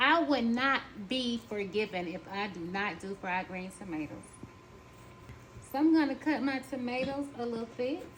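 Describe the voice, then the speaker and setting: A woman with a Southern US accent, fairly high in pitch, lively intonation, a moderate pace, and long, frequent pauses. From US South. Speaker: home cooking vlogger. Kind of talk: cooking tutorial. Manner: casual, chatty.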